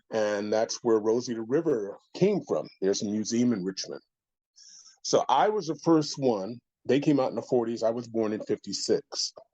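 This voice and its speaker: An ordinary speaking voice with an American accent carries ordinary pitch variation. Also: man, medium pitch for a man, moderate pace. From California. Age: 60s. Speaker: podcast guest. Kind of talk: casual chat.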